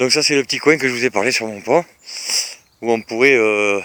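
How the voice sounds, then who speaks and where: Here a man speaks at a moderate pace. His pitch is medium. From Bordeaux, France. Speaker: vlogger. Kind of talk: casual property walkthrough video. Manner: hesitant, many fillers.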